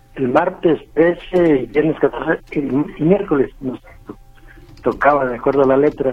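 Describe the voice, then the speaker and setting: With long, frequent pauses and big swings in loudness, a man speaks at a fairly slow pace over noticeable background noise. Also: fairly high pitch for a man, ordinary pitch variation. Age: old. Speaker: caller, pensioner. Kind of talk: phone call complaint. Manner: halting.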